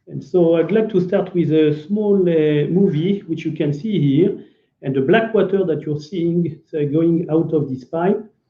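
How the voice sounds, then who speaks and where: In a French accent, a man speaks at a fairly slow pace with a high pitch. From France. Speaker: business developer, company executive. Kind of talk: business presentation. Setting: online video event.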